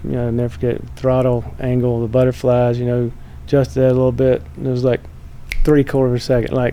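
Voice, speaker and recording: Noticeable background noise surrounds a man speaking at a very fast pace. His pitch is medium, with a Southern accent. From US South, North Carolina. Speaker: motorsports executive. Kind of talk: casual chat.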